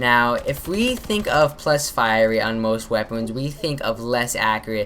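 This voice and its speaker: Fairly slow speech from a woman, with noticeable background noise behind it. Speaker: gaming YouTuber. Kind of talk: gameplay commentary tutorial. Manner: casual, filler-heavy.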